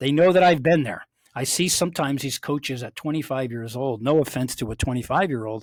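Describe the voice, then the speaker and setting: Fairly quick speech comes from a man at medium pitch with ordinary pitch variation, and he has an unremarkable speaking voice. The sound is dry and close, with no echo. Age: 60s. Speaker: executive coach and professor. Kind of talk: interview.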